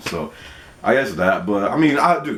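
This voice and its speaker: Noticeable background noise behind a male voice at a moderate pace. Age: 30s. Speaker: gaming youtuber. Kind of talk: casual Q&A vlog. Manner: halting, repeats words.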